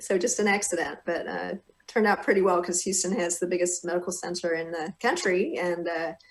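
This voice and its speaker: The speaker keeps a fairly quick pace and fairly even intonation while noticeable background noise runs underneath. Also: woman, fairly low pitch for a woman. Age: 50s. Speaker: gynecologist and author. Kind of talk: interview conversation.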